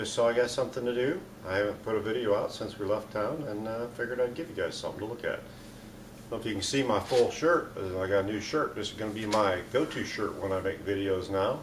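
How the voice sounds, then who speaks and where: Rapid-fire talking, pitch moving in an ordinary way, noticeable noise in the background. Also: man. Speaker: hobby channel host. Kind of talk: casual vlog chat. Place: garage. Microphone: phone near.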